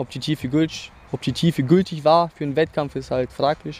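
The monotone, flat delivery comes at a moderate pace with a dry, close sound and no echo. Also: man. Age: 20s. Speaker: athlete. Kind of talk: interview. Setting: live at a competition venue.

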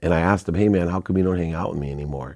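The voice has a dark, mellow tone and ordinary pitch variation. The recording is very clean, with a silent background. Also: man. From Akron, Ohio. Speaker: entrepreneur. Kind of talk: casual chat.

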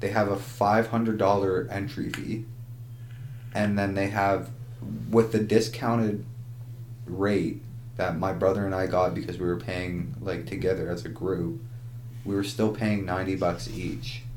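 A man with a Canadian accent, fairly low in pitch with vocal fry and ordinary pitch variation, at a fairly slow pace with long, frequent pauses, in audible room echo. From Ontario, Canada. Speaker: podcast co-host. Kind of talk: casual chat.

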